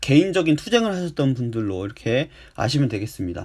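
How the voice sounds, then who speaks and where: A man speaks at a moderate pace with very wide pitch swings on a very clean recording with a silent background. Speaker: high school history teacher. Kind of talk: recorded lecture. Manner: frequent filler pauses.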